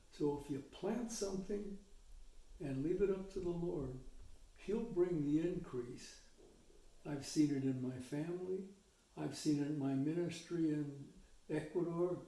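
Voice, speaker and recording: A man with a high pitch and a dark, mellow tone speaks at a fairly slow pace. He leaves long, frequent pauses, and audible room echo surrounds him. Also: ordinary pitch variation. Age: 80s+. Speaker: retired missionary. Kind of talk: interview. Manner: reflective, measured.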